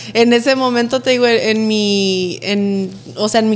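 Fairly even intonation from a woman speaking at a moderate pace in a fairly high voice. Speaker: influencer, podcast guest; podcast guest. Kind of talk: casual chat, interview. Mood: relaxed, smiling. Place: studio. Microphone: studio mic.

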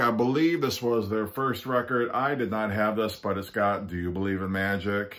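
A man with a fairly low pitch and a fairly bright tone speaks at a moderate pace.

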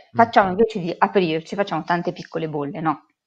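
Over a quiet background, a woman speaks. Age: 50s. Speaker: corporate brand communication manager; guest. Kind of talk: interview conversation. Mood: thoughtful, calm. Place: home room. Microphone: video call.

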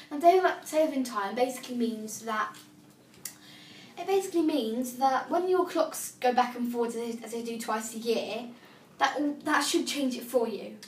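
A woman's high voice in a British accent, moderate pace, ordinary pitch variation, big swings in loudness and audible room echo. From UK. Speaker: assistive technology demonstrator; braille device user demonstrating. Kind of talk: tutorial. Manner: casual, hesitant with fillers. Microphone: phone near.

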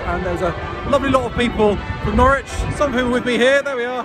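A man's very fast speech, dry and free of echo, with clear music in the background. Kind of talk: casual vlog chat. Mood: joyful, warm. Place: street. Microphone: phone near.

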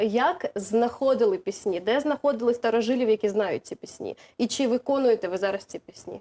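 A woman speaks at a moderate pace with a high, dark, mellow voice, lively intonation and big swings in loudness, the sound dry and close with no echo. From Zaporizhzhia, southern Ukraine. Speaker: TV presenter. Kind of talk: studio interview. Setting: TV studio.

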